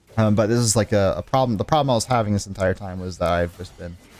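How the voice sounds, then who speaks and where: Music plays in the background as the speaker talks very fast with ordinary pitch variation. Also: man. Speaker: gaming commentator. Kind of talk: gameplay commentary. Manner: casual, filler-heavy.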